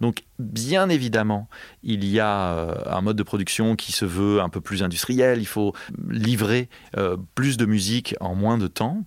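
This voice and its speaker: A man at a very slow pace, fairly low in pitch, with ordinary pitch variation. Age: 40s. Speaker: film composer. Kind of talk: interview. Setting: studio.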